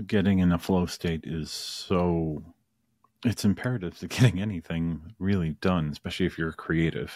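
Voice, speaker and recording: A very clean recording with a silent background, carrying speech of ordinary pitch variation. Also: man. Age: 40s. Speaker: podcast host. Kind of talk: casual chat.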